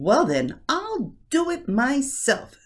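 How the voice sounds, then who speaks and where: The pitch is high. It comes as a put-on character voice. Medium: read story. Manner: firm, brisk.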